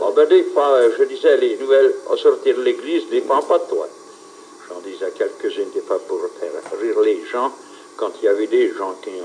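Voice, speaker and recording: Over noticeable background noise, a man with an extremely high pitch talks at a moderate pace with fairly even intonation. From Swiss Jura, Ajoie. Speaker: village town crier. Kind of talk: interview answer.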